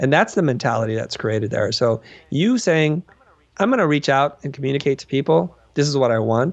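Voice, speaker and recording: A man with a plain, everyday voice, fairly high pitch and lively intonation. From Vietnam, raised in US. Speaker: design educator. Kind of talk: interview conversation.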